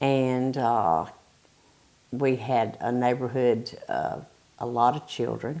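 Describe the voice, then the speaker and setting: Speaking at a very slow pace, a woman with a Southern US accent has a very deep, low pitch. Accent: Southern US (Georgia). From US South, Bartow County, Georgia. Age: 60s. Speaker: retired factory quality control worker. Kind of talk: oral history interview.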